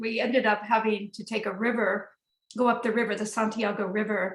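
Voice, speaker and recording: A woman talks in a fairly high pitch with an American accent. Hers is a normal speaking voice. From United States. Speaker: herbalist and trip leader. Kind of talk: storytelling in a webinar conversation. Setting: webinar.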